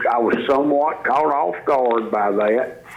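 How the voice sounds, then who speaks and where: A man's medium-pitched voice with a Mississippi accent, very slow pace, ordinary pitch variation, and noticeable background noise. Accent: Mississippi Southern US. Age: 60s. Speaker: football coach. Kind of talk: sports radio interview.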